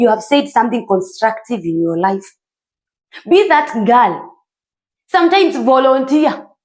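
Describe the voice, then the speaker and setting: In a Kenyan accent, this animated voice swings very widely in pitch, moving at a fairly slow pace with long, frequent pauses. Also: woman, high pitch for a woman. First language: Kikuyu. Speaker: self-improvement vlogger. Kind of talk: motivational talk.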